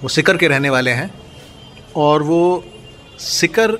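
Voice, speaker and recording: Through noticeable background noise comes a man's fairly high-pitched voice. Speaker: film writer and interviewer. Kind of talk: interview questions.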